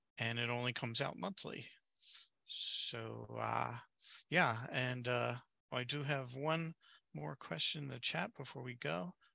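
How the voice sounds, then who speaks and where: Dry with no echo, a man's voice shows vocal fry as he talks at a fairly slow pace with long, frequent pauses. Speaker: webinar moderator. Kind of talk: webinar moderation. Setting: video call. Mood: friendly, relaxed. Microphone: headset.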